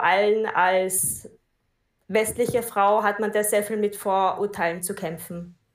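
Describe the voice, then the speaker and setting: A woman speaks very slowly at a medium pitch. The recording is very clean, with a silent background. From Austria. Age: 20s. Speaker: Buddhist practitioner and teacher. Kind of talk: casual interview.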